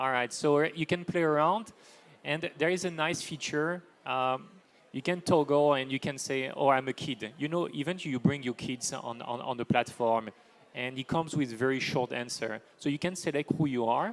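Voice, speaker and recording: At a moderate pace, the voice carries a French accent with ordinary pitch variation. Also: man, fairly high pitch for a man. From France. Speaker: AI for sustainability business leader. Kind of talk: panel discussion.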